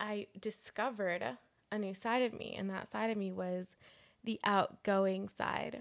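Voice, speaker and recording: Here a woman speaks at a medium pitch with ordinary pitch variation. The recording is very clean with a silent background. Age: 20s. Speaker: podcast co-host. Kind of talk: casual chat. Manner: animated.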